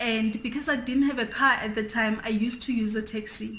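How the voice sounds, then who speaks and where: Audible room echo surrounds a woman talking at a moderate pace. Her intonation is monotone and flat. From South Africa, Free State. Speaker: beauty YouTuber. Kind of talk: casual chat.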